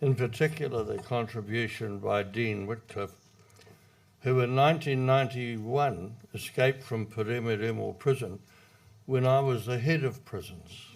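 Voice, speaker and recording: Using a New Zealand accent, a man talks at a fairly slow pace and medium pitch with ordinary pitch variation. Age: 80s+. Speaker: retired public servant, speaker. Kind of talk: prepared speech read from notes. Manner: reading from notes.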